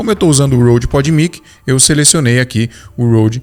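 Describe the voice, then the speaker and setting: Spoken at a fairly quick pace, the voice shows ordinary pitch variation. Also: man. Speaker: tech youtuber, podcaster. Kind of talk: product tutorial. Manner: casual, filler-heavy.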